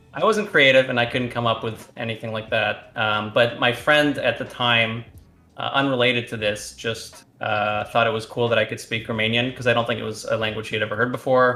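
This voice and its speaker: A man at a fairly quick pace and medium pitch with monotone, flat intonation, amid noticeable background noise. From Canada, moved from Romania as a child. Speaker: esports player and streamer. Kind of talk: interview.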